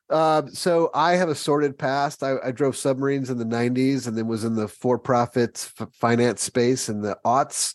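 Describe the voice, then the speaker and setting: A man with an American accent and an ordinary speaking voice, at medium pitch and a moderate pace, with ordinary pitch variation and hardly any pauses, dry and close with no echo, over a quiet background. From Ohio (Springfield). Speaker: podcast host. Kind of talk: casual chat. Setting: video call.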